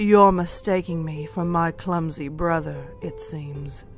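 A put-on character voice at a middle pitch goes at a fairly slow pace. Music plays clearly in the background. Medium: read story. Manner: calm, solemn.

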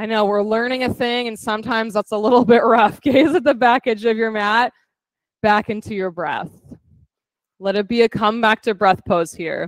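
With a plain, everyday voice, a woman of fairly high pitch talks at a moderate pace with ordinary pitch variation, in a dry sound with no echo and a quiet background. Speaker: fitness instructor. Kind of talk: guided yoga class, cueing poses. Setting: in-person studio class with online participants. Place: gym.

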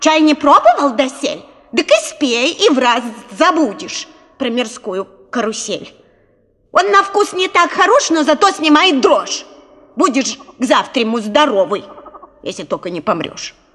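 A female-sounding put-on character voice speaks high for a woman at a moderate pace. Long pauses come often. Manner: cackling, cunning.

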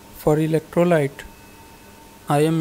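A man at a moderate pace, with monotone, flat intonation and noticeable background noise. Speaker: DIY project video maker. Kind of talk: tutorial voice-over.

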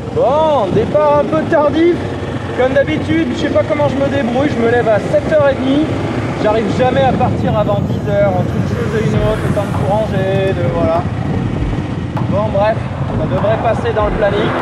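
The speech has long, frequent pauses. Loud background noise runs underneath. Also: moderate pace. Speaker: motorcycle travel vlogger. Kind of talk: casual vlog chat. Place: motorbike. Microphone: helmet.

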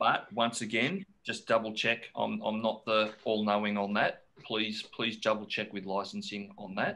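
With an Australian accent, a man speaks at a fairly slow pace. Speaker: forum moderator; guest. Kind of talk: casual Q&A. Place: office. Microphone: video call.

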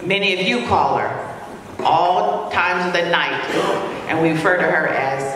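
A woman talks at a fairly slow pace. Noticeable background noise and strong room echo surround her. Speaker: community leader. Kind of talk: award presentation speech. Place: hall.

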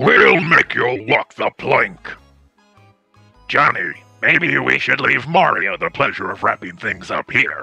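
A man speaks in a put-on character voice at a fairly slow pace, with faint music in the background. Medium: actual play. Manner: gruff, blustering.

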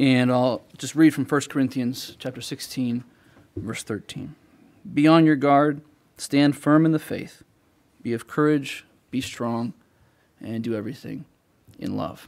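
The man's pace is fairly slow, with long, frequent pauses and fairly even intonation. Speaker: church leader; preacher. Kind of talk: sermon. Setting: church. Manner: halting. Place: church. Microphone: podium.

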